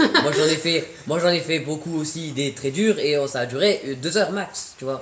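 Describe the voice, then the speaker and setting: A man speaks at a moderate pace in a fairly high voice, with ordinary pitch variation, hardly any pauses, and noticeable background noise. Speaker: streamer. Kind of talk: casual chat. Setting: live stream. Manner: loud.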